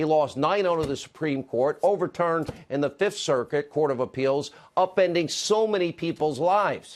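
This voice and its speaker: A man with a normal speaking voice and an American accent. His pitch sits fairly high, with ordinary variation, at a moderate pace. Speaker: TV news host. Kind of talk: TV opinion monologue.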